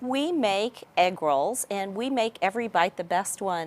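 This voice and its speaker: Speaking with a Texas accent, a woman uses a medium pitch with ordinary pitch variation. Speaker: business executive. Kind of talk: interview.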